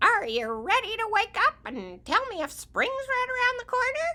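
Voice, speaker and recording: A hoarse, put-on character voice at an extremely high pitch and a moderate pace. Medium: read story.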